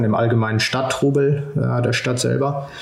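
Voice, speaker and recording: A man speaks at a medium pitch with fairly even intonation. Noticeable background noise and audible room echo come through. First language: Spanish (speaking German). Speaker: PhD student in oceanography. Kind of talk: interview. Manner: halting, many fillers and repeated words.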